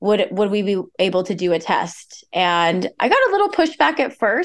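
The delivery is fairly slow, set against a quiet background. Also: woman. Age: 20s. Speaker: patient with a rare disease. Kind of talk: interview.

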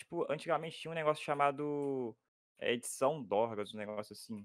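Using a normal speaking voice, a man talks at a fairly quick pace. His pitch is fairly high and his intonation lively. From Minas Gerais, Brazil. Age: 20s. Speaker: YouTuber. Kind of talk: casual chat while gaming.

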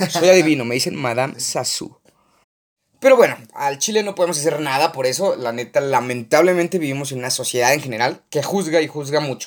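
An animated man talks fairly quickly in a fairly high voice with ordinary pitch variation. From Mexico, Aguascalientes. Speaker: podcast co-host. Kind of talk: casual chat.

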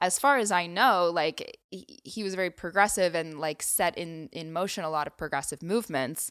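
In an ordinary speaking voice, a woman talks at a fairly low pitch with ordinary pitch variation, hardly pausing at all and swinging widely in loudness. The recording is very clean, with a silent background. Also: moderate pace. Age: 20s. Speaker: podcast co-host. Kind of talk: casual chat.

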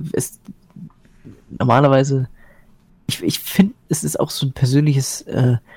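A man speaks at a moderate pace in a fairly high, somewhat breathy voice with fairly even intonation. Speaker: gamer and commentator. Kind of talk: casual chat. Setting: live Twitch stream.

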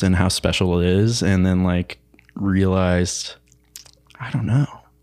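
A man with an American accent talks at a fairly slow pace in a very deep, low pitch, his intonation fairly even. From central Illinois, US Midwest. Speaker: college student. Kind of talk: casual chat.

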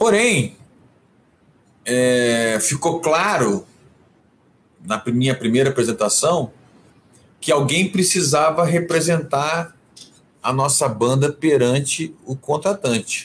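A man talks at a very slow pace, somewhat breathy, with lively intonation. His speech has long, frequent pauses. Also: fairly high pitch for a man. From Rio de Janeiro, Brazil, then Brasília from age 12. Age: 50s. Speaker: cultural manager, music awards founder. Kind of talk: interview on livestream. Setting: home office, video livestream. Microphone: possible echo from same home.

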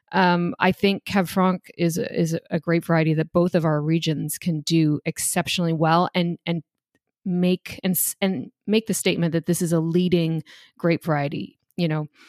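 A woman with a Canadian accent in an unremarkable speaking voice, fairly low in pitch, with fairly even intonation and very even loudness, in a very clean recording with a silent background and a dry, close sound with no echo. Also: moderate pace. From Ontario, Canada. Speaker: wine expert. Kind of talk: casual chat.

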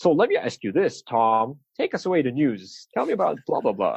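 A man does a put-on robotic character voice at a fairly high pitch and a moderate pace, with a dry, close sound and no echo. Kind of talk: formal broadcast delivery.

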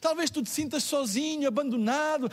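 This man talks at a moderate pace in an extremely high pitch, with ordinary pitch variation. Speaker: pastor. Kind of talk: sermon. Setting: church livestream.

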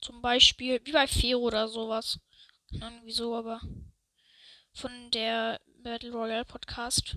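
A woman's bright, sharp tone at fairly high pitch, monotone and flat, fairly slow with long, frequent pauses and big swings in loudness, in a dry, close sound with no echo. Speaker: gaming youtuber. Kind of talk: gameplay commentary. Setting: at home.

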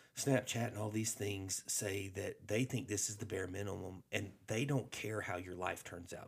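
With a Southern US accent, a man speaks at a moderate pace in a somewhat breathy voice. His pitch is fairly low and his intonation fairly even. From Alabama. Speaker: pastor. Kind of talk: casual chat.

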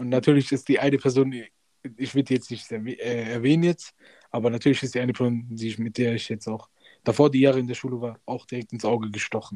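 A man with medium pitch and a dark, mellow tone talks at a very fast pace in a monotone, flat intonation. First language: Punjabi (speaking German). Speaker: podcast host, university student. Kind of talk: casual chat.

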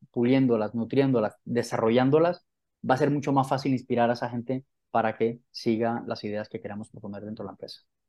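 At a fairly quick pace, a man speaks with fairly even intonation. The background is quiet. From Colombia, Santa Marta (Caribbean coast). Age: 40s. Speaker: author and professional development trainer. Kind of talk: interview.

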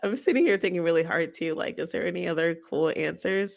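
A woman speaks with vocal fry at a fairly low pitch, recorded very cleanly against a silent background. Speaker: podcast co-host. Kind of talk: casual chat.

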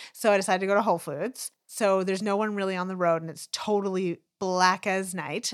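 Talking at a fairly quick pace with fairly even intonation, a woman uses an unremarkable speaking voice at medium pitch, recorded very cleanly against a silent background. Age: 40s. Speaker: podcast co-host and law student. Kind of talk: casual chat.

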